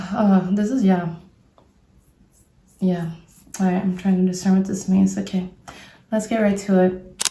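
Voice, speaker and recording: A woman with a non-native accent, moderate pace, long and frequent pauses, and monotone, flat intonation. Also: medium pitch for a woman. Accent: non-native English speaker. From Brazil. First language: Portuguese. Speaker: tarot reader. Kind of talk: tarot reading. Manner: casual, thinking aloud with hesitations.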